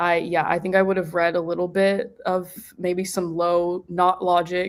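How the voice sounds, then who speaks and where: A woman's fairly low, monotone voice with flat intonation and a Texan accent, at a fairly slow pace. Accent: Texan American. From Texas, US. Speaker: postgraduate philosophy student. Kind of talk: panel discussion. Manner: casual, filler-heavy.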